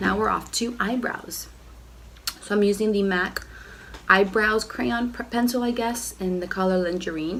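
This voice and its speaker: A woman with a medium pitch talks while noticeable background noise fills the recording. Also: ordinary pitch variation, moderate pace. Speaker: beauty vlogger. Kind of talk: makeup tutorial. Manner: casual, chatty.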